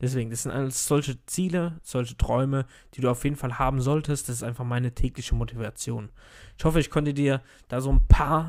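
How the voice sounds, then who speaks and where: Pitch varies in an ordinary way as an ordinary speaking voice talks at a fairly quick pace. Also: man. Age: 30s. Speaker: podcast host, network marketer. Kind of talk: solo motivational monologue. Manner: casual, filler-heavy.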